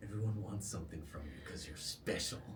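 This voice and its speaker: A man puts on a character voice, fairly low in pitch and fairly quick in pace, with clear background noise behind him. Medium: actual play. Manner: taunting, accusing.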